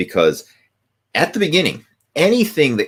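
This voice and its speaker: Very wide pitch swings and vocal fry mark this man's speech. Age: 40s. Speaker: fitness coach. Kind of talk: live video Q&A. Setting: live video stream.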